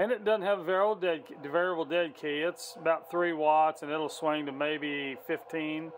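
A man speaks at a moderate pace, with light noise in the background. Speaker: CB radio hobbyist. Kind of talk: casual show-and-tell report to a radio tech. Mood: excited, amazed. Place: home room. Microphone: phone near.

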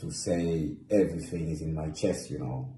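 A man's very deep, low voice with a dark, mellow tone and vocal fry, moderate pace and ordinary pitch variation, with light background noise and audible room echo. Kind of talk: emotional social media monologue. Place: home room. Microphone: phone near.

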